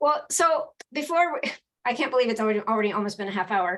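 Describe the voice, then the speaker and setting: A woman is speaking. Her intonation is lively. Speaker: podcast host. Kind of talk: casual chat. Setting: live video show. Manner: quiet, soft-spoken.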